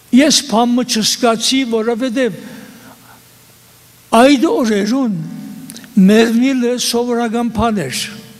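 Over noticeable background noise, a man talks at an extremely high pitch with fairly even intonation. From eastern Turkey (Western Armenian). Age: 80s+. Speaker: genocide survivor. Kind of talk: testimony.

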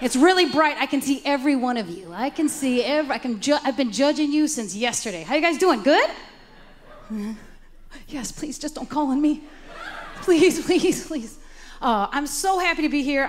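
Pitched high, a woman speaks with long, frequent pauses over light background noise. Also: moderate pace. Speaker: comedian, event host. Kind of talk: stand-up comedy hosting.

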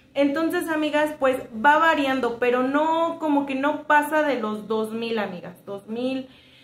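A woman's high-pitched voice with ordinary pitch variation, a fairly slow pace, hardly any pauses, and audible room echo. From Mexico. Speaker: homemaker vlogger. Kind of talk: casual vlog talk to viewers. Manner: chatty, with many fillers. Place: home room. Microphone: phone near.

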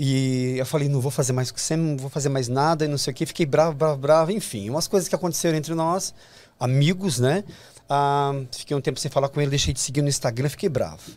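Ordinary pitch variation marks the delivery as a man rattles along at a very fast pace. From Brazil. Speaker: fashion designer and actor; actor. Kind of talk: interview. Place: studio. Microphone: studio mic.

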